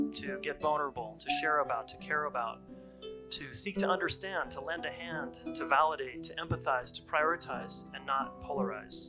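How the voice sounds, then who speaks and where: A man's voice moves along at a moderate pace. Background music accompanies him. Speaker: relationship coach. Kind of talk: spoken word poetry.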